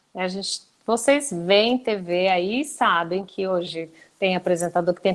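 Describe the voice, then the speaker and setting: This is a woman with an ordinary speaking voice. Her pitch is medium, with ordinary pitch variation. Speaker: TV journalist and news anchor. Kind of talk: interview answers in a live webinar chat.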